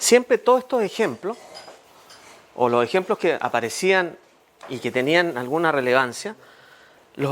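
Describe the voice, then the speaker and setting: Over noticeable background noise, a man with a fairly high voice talks at a moderate pace, breaking off with long, frequent pauses. His pitch swings very widely. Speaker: lawyer giving a civics talk. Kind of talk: public talk to neighbours.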